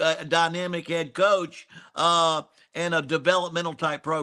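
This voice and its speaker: On a very clean recording with a silent background, a man with a Southern US accent speaks in a high-pitched voice with a bright, sharp tone. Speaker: college football analyst and former coach. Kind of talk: casual sports talk. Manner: repetitive, stammering restarts.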